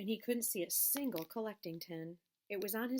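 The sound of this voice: An unforced reading voice against a quiet background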